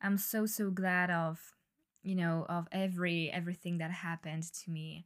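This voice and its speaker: With a French accent, a woman talks fairly slowly in a fairly low, monotone voice with flat intonation on a very clean recording with a silent background. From France. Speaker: podcast host. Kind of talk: solo monologue. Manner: hesitant, many fillers.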